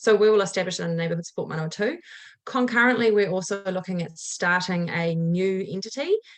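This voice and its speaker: With a New Zealand accent, a woman speaks very fast. Her pitch is medium, with ordinary variation. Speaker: community organisation chairperson. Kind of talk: council submission presentation. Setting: council meeting.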